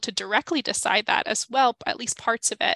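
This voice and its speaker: A woman's fairly high, bright, sharp voice with ordinary pitch variation and a dry, close sound with no echo. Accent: American. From New York City, Queens. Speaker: city government program director. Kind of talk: interview explanation.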